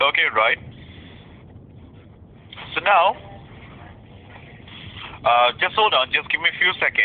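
Speaking slowly with long, frequent pauses, a man uses lively intonation at a fairly high pitch.

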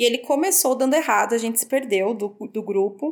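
Speaking at a fairly quick pace, a woman uses a plain, everyday voice with a fairly high pitch and ordinary pitch variation. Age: 20s. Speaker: travel industry worker. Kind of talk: casual chat.

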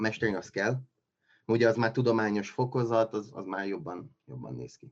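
A man talks at a moderate pace with a medium pitch and ordinary pitch variation. His loudness swings a lot. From Transylvania, Romania (Csíkszereda). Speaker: scientific assistant editor. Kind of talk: casual interview. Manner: halting, many fillers and repetitions.

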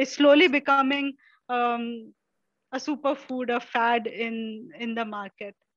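A woman talks at a fairly slow pace in a high voice. Her intonation is fairly even and the background is quiet. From India, Maharashtra (Kerala family). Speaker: self-taught herbalist. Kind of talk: interview.

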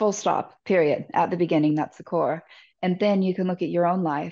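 Over a quiet background, a woman talks in a fairly low pitch with a dark, mellow tone and monotone, flat intonation. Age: 40s. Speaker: recovering alcoholic sharing her story. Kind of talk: interview testimony.

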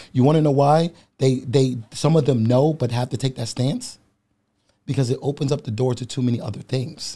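A man talks at a moderate pace and medium pitch, with fairly even intonation. His tone is dark and mellow, somewhat breathy. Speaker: bodybuilder and public speaker. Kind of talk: casual chat. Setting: studio.

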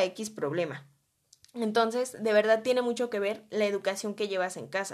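A woman at medium pitch, ordinary pitch variation, and a moderate pace. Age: 20s. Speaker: podcast host. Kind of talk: casual solo podcast monologue.

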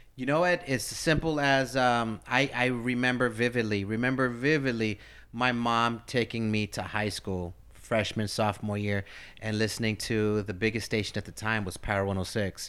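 A man with a medium pitch speaks in an American accent, with ordinary pitch variation and an unremarkable speaking voice. The recording is very clean over a silent background. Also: moderate pace. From US, Philadelphia and East Los Angeles. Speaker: radio host. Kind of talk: casual interview.

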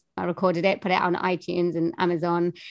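A woman speaks with a Welsh accent at a medium pitch. The background is quiet. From Wales. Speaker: voiceover artist and singer. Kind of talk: interview, casual chat.

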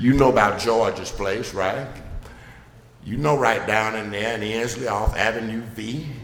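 A man at medium pitch with an American accent, fairly even intonation and a moderate pace, amid audible room echo. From US South, Birmingham, Alabama. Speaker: pastor. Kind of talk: sermon. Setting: church.

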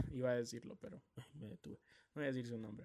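A man with a Honduran accent, medium pitch and ordinary pitch variation, at a fairly quick pace. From Honduras, Tegucigalpa. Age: 20s. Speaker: podcast host, DJ and journalism student. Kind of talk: personal testimony podcast.

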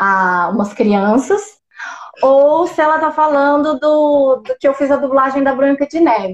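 A woman's high voice at a fairly slow pace, with lively intonation. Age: 20s. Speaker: musical theatre actress and singer. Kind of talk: casual interview on a live stream.

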